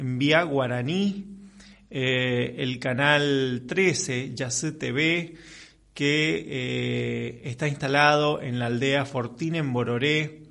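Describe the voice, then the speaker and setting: There is noticeable background noise and audible room echo. A man speaks at a medium pitch with ordinary pitch variation. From Argentina, Chaco. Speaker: radio host. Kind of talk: radio interview.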